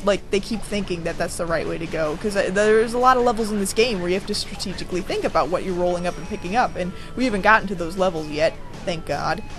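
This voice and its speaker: A woman is speaking amid noticeable background noise. Audible room echo surrounds her voice. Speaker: gamer doing a let's play video. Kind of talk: casual gameplay commentary. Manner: animated.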